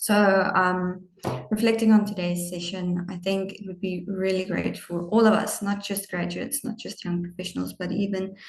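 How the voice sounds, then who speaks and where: A woman at a medium pitch and moderate pace, with monotone, flat intonation, big swings in loudness and noticeable background noise. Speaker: webinar moderator summarizing session. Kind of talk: closing summary of a webinar.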